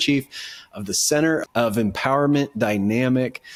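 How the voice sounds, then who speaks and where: A man with an American accent and a normal speaking voice, ordinary pitch variation, a moderate pace, and a very clean recording with a silent background. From Ohio, Dayton area. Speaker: podcast host. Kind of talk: casual interview; show intro.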